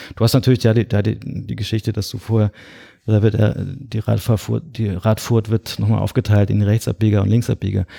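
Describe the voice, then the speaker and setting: A man speaks at a moderate pace in a fairly low voice with a dark, mellow tone and some vocal fry, his intonation fairly even and the sound dry and close with no echo. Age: 40s. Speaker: architect and cycling blogger. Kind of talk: casual interview. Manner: hesitant with many fillers.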